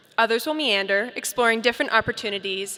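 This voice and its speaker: Bright and sharp in tone, a woman with an American accent speaks at a fairly high pitch. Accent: slight British accent that slips in. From Colorado, US. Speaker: graduating student speaker. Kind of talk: commencement speech. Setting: stage with audience. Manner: formal.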